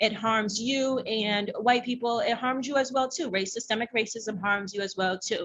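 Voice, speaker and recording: Hardly pausing, a woman talks at a moderate pace in an unremarkable speaking voice. Her pitch is fairly high and her intonation fairly even. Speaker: workshop presenter and racial justice advocate. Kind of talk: workshop presentation. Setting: conference room with audience. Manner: many filler ums.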